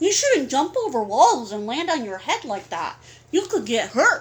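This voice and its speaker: This is a put-on character voice. Its pitch moves in very wide swings. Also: woman, high pitch for a woman, moderate pace. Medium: read story.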